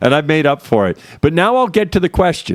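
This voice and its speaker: A man talks loudly at a very fast pace. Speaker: stream host. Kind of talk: casual chat. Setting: live stream.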